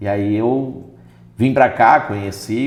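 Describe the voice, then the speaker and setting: Ordinary pitch variation marks a man's fairly low-pitched voice. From Minas Gerais, Brazil. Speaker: pastor and lawyer. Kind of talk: interview.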